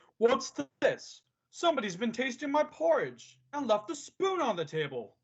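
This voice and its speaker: The voice is a put-on character voice. It sits high in pitch and moves at a moderate pace. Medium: stage play.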